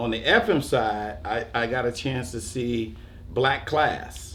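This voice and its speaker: There's audible room echo as a man with an American accent talks in vocal fry. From New York. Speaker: radio DJ. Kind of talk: panel discussion. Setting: museum panel.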